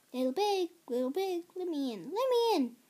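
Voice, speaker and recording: Doing a put-on character voice, a woman goes squeaky and growling at an extremely high pitch with very wide pitch swings, at a moderate pace. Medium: read story. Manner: menacing, feigning friendliness.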